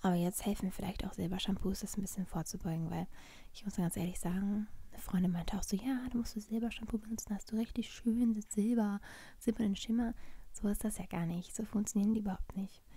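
Soft-spoken and somewhat breathy, a woman talks at a very fast pace with fairly even intonation and a dark, mellow tone, the sound dry with no echo over a quiet background. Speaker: ASMR vlogger. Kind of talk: ASMR vlog, casual talk to camera. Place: home room.

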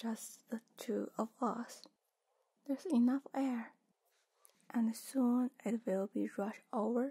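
Very slow, high-pitched female speech with fairly even intonation and a dark, mellow tone over a quiet background. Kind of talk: soft roleplay talk to the viewer. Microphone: studio mic.

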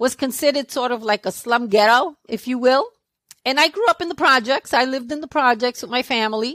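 Woman with a New York accent at a high pitch, a fairly quick pace and ordinary pitch variation, dry with no echo and a quiet background. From New York City, Brooklyn (Brownsville); New York City. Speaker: podcast guest, public speaking club member; podcast guest. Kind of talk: interview; interview answer. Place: home room. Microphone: headset.

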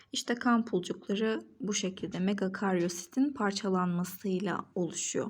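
A woman's somewhat breathy voice on a very clean recording with a silent background. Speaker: biology tutor. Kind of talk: educational lesson narration.

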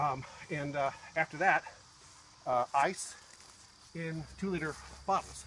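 Ordinary pitch variation runs through the man's speech. Some light background noise is present. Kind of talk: tutorial. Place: garden. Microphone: phone near.

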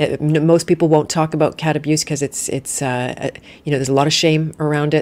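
A woman's very deep, low voice, monotone and flat, at a fairly quick pace. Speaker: podcast host. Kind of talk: live interview conversation. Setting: live stream with online audience. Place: home room. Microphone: studio mic.

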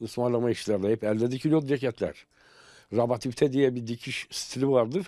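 This man has a dark, mellow tone and talks at a fairly quick pace. The sound is dry with no echo, and the background is quiet. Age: 60s. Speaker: tailor. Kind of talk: interview testimony. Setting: tailor shop. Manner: halting. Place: shop. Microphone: handheld.

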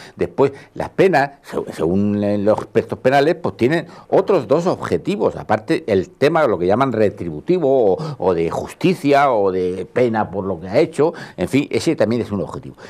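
With vocal fry and very wide pitch swings, a man talks at a moderate pace. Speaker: retired civil servant, panelist; panelist. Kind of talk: televised panel discussion. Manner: halting. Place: studio. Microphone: lapel.

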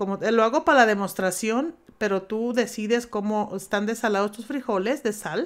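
Delivered at a moderate pace, it is a plain, everyday voice. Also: woman, fairly high pitch for a woman, ordinary pitch variation. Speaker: home cooking youtuber. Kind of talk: cooking tutorial. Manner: talkative, informal.

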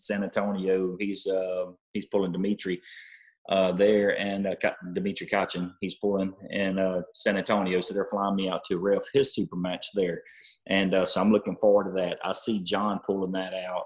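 A man's fairly low, monotone voice with flat intonation at a moderate pace over a quiet background. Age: 40s. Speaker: arm wrestler; interview guest. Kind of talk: casual interview. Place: home room. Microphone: video call.

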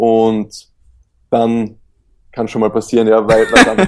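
This is a man speaking. His pitch is medium. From Austria. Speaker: professional kitesurfer. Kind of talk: interview conversation.

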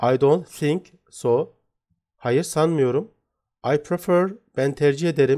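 A man with a fairly high pitch speaks very slowly in a dark, mellow tone, his pitch varying in an ordinary way. The recording is very clean with a silent background. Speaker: English teacher. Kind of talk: tutorial.

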